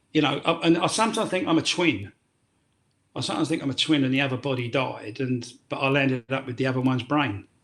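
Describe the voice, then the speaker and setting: A man with a London accent, medium in pitch, at a very fast pace with ordinary pitch variation. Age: 60s. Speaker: former prisoner turned tour guide. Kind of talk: podcast interview. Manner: halting.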